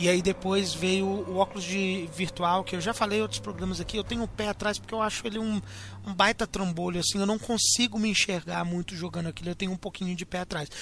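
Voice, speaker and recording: Very fast speech from a man at a high pitch, fairly even intonation, and noticeable background noise. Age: 20s. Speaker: podcast host. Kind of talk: casual chat.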